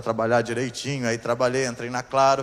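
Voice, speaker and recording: A man talks at a fairly quick pace and a medium pitch. His intonation is monotone and flat, with noticeable background noise behind him. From southern Brazil, Curitiba area, Paraná. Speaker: pastor. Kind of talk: sermon.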